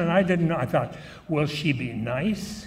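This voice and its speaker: With a Canadian accent, a man speaks at fairly high pitch with ordinary pitch variation. Audible room echo surrounds him. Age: 90s. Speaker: event emcee, former radio morning show host. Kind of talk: speech at a gala dinner. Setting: banquet hall with audience, microphone. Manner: humorous, conversational.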